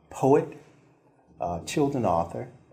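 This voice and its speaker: A man's dark, mellow, somewhat breathy voice, fairly low in pitch, with very wide pitch swings at a very slow pace. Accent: American. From eastern North Carolina, Pamlico Sound area. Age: 60s. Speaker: children's author and poet. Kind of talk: interview. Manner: hesitant, many fillers.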